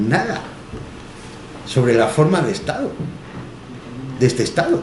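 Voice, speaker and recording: Over noticeable background noise and audible room echo, a man talks fairly slowly in a fairly high pitch. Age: 60s. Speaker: history teacher. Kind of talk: public talk. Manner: halting; passionate.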